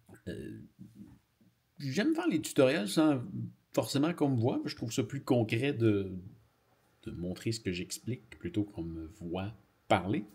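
A man with a Quebec accent speaks at a fairly slow pace, his voice somewhat breathy. His pitch swings very widely, broken by long, frequent pauses against a quiet background. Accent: Québécois French. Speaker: YouTuber. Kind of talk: casual vlog. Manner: halting.

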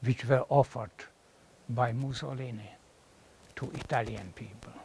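The voice sounds somewhat breathy, with fairly even intonation. The sound is dry with no echo, over light background noise. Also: man. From Czechoslovakia (Moravia); Czechoslovakia. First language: Czech. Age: 80s+. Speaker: professor. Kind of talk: lecture. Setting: classroom with audience. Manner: halting. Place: classroom.

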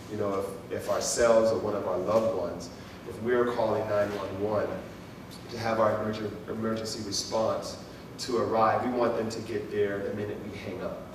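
A man speaks at a moderate pace in a flat, monotone delivery, leaving long, frequent pauses. The room echo is audible and background noise is noticeable. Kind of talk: public address to residents. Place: hall.

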